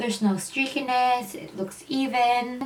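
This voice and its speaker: A woman speaks over noticeable background noise. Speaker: beauty vlogger. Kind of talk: casual talk to camera.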